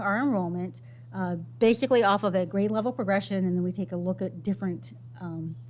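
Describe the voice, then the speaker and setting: A woman is speaking. There is a somewhat breathy quality to her voice. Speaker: school finance staff presenter. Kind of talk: budget presentation. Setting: school board meeting.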